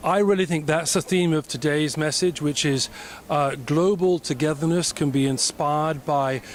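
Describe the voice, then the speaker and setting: This man has a British accent and a fairly high pitch. He talks at a moderate pace with ordinary pitch variation. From Britain (born in Africa, schooled in Britain). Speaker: entrepreneur, government affairs consultant. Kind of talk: interview.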